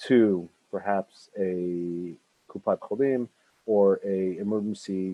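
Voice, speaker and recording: Fairly even intonation with an American accent. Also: man. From North America. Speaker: emergency medical volunteer organization representative. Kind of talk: online presentation. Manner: halting, many fillers.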